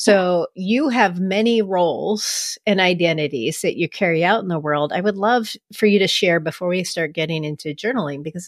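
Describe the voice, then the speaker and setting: In a very clean, dry, close recording with a silent background and no echo, a woman with a normal speaking voice talks at a moderate pace and a fairly low pitch with ordinary pitch variation. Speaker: podcast host and coach. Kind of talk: interview conversation.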